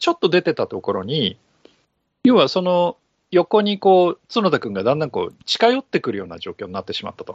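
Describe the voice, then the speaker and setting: A man talks at a moderate pace. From outside Kansai, Japan. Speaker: podcast co-host, F1 explainer. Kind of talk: casual chat.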